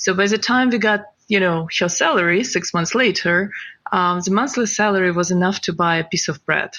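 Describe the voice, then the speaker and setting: A woman talks at a fairly quick pace with a non-native accent. Her voice sits at medium pitch, with ordinary pitch variation and very even loudness. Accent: foreign. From Ukraine. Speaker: crypto company CEO. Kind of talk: interview.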